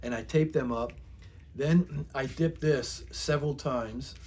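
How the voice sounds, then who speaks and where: A man with an American accent. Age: 60s. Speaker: YouTuber, hobbyist. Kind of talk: casual show-and-tell tutorial. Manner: halting, filler-heavy.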